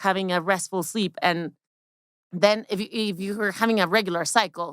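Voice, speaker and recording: On a very clean recording with a silent background and a dry, close sound with no echo, a woman talks at a fairly quick pace with a Spanish accent. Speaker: women's health expert. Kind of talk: interview. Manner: halting.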